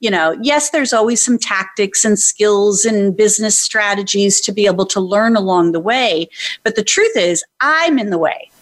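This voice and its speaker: A woman's normal speaking voice: medium pitch, ordinary pitch variation, very even loudness, a moderate pace and hardly any pauses, with a normal speaking voice throughout. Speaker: brand coach and author. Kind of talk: interview.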